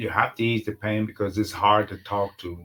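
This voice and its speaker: A man's ordinary speaking voice, fairly low in pitch, at a moderate pace. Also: very clean recording, silent background. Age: 60s. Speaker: uncle and father figure, guest. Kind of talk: casual interview conversation.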